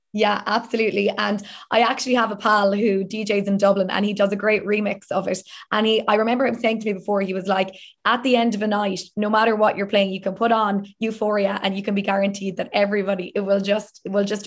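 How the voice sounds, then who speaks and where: A woman with a Southern Irish accent, medium pitch, flat monotone intonation and a very fast pace. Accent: southern Irish (Limerick). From Limerick, south of Ireland. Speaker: TV and radio presenter. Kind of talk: casual interview.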